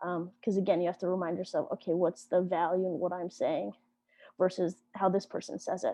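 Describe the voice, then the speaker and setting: Flat, monotone delivery from a woman at a medium pitch. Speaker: podcasting workshop instructor. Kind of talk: workshop lecture. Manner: fast; hesitant, many fillers.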